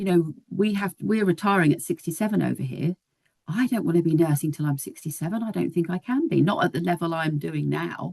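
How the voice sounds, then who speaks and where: With a British accent and ordinary pitch variation, a woman speaks through vocal fry. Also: fairly quick pace, dry, close sound with no echo. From UK. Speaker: nurse. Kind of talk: casual chat.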